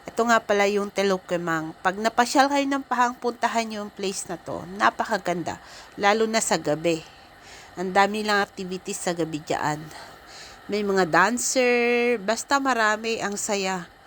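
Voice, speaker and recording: A woman's medium-pitched voice with ordinary pitch variation, a moderate pace, and noticeable background noise. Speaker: travel vlogger. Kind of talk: casual vlog narration. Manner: halting, unpolished.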